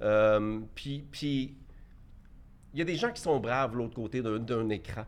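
A man speaks at a very slow pace, with long, frequent pauses. His pitch is medium and its variation is ordinary. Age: 50s. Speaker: entrepreneur. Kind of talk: debate.

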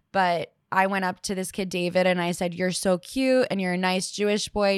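An unremarkable speaking voice from a woman, medium in pitch, at a fairly quick pace. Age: 20s. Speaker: marketing professional. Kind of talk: casual chat.

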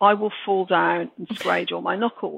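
A woman with a Birmingham accent speaks at a moderate pace. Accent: Brummie. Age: 60s. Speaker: author. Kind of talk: interview.

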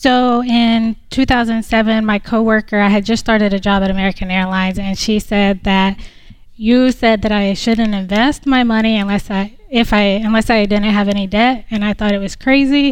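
This is a woman with an unremarkable speaking voice, pitched fairly high. She keeps a moderate pace and fairly even intonation. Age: 40s. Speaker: realtor and Air Force reservist. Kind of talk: live call-in show interview. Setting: live stage in studio lobby.

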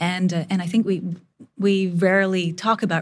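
The somewhat breathy voice keeps a moderate pace on a very clean recording with a silent background. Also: woman. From India. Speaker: photographer and filmmaker. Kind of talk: interview.

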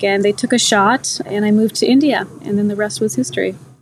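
Noticeable background noise sits behind a woman's voice. She speaks at medium pitch with ordinary variation. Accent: American. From US. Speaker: TV business journalist. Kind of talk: interview conversation. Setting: podcast interview.

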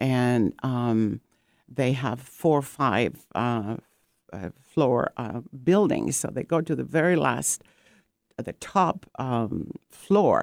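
Speaking at a very slow pace, a woman with a very deep, low pitch uses lively intonation. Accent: Greek. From Greece (Corfu family). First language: Greek. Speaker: painter and ceramic artist, art retreat founder. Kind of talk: radio interview. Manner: hesitant with many fillers.

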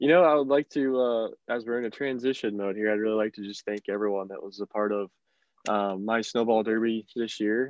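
A man talks at a fairly quick pace. He has an ordinary speaking voice at medium pitch. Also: fairly even intonation. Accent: American. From northern West Virginia. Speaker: stock car racing driver. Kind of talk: interview.

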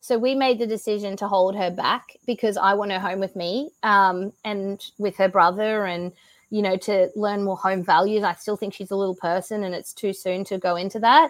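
In an Australian accent, a woman talks at a moderate pace and medium pitch with fairly even intonation and hardly any pauses. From Australia (Brisbane, Queensland). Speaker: CrossFit athlete and business owner. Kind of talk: casual interview chat. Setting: video call from home.

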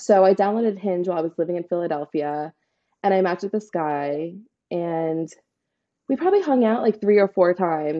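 A woman with an American accent speaks at a fairly quick pace in a plain, everyday voice. Her pitch is fairly low, with ordinary variation. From Staten Island, New York. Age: 20s. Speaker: bartender and flight attendant. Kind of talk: casual chat.

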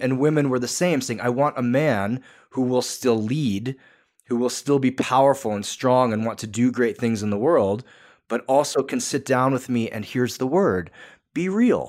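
On a very clean recording with a silent background, a man talks at a moderate pace and medium pitch with ordinary pitch variation in an unremarkable speaking voice. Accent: American. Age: 40s. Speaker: author and men's coach. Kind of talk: interview conversation.

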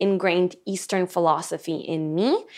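A woman with a normal speaking voice and ordinary pitch variation talks at a moderate pace on a very clean recording with a silent background. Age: 20s. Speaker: sound healer and hypnotherapist. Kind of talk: casual interview chat. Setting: in person studio recording.

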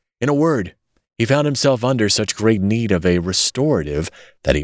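An ordinary speaking voice with lively intonation in a very clean recording, silent background. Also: man, dry, close sound with no echo. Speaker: audiobook narrator.

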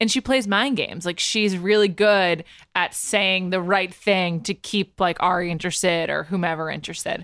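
A woman's medium-pitched, plain, everyday voice at a moderate pace with ordinary pitch variation, on a very clean recording with a silent background. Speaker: pop culture podcaster. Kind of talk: casual chat.

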